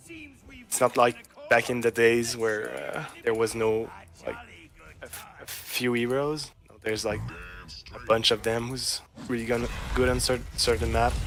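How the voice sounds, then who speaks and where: A man talks at a fairly slow pace, with long, frequent pauses. His loudness swings widely against noticeable background noise. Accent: French. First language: French. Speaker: student esports champion. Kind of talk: casual interview while gaming. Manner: halting.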